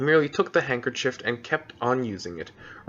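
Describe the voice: Plain reading aloud. Nothing more is added to the delivery.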